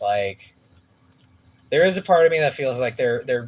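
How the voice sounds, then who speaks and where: Lively in intonation and somewhat breathy, a man speaks at medium pitch with an American accent. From San Francisco Bay Area, California. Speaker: musician streaming a live gaming stream. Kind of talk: casual chat. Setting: livestream. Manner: quiet, soft-spoken.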